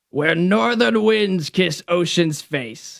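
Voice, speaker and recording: The pace is very slow. The speaker uses a put-on character voice. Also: man, high pitch for a man. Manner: playful reading of verse.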